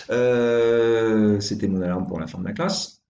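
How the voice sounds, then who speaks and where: Audible room echo hangs around the speech, which unfolds at a fairly slow pace. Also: man. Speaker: primary school teacher. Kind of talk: tutorial.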